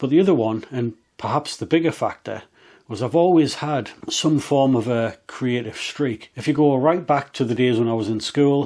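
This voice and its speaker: This very clean recording has a silent background. A man with an English accent speaks at medium pitch and a moderate pace with ordinary pitch variation. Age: 40s. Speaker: motorcycle vlogger. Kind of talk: casual vlog monologue.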